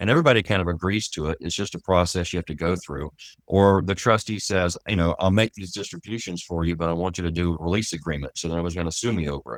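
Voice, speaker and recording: With a Texan accent and a very deep, low pitch, a man races along at a very fast pace with hardly any pauses and ordinary pitch variation, on a very clean recording with a silent background and a dry, close sound with no echo. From Texas. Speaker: trust and estate litigation lawyer. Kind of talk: interview.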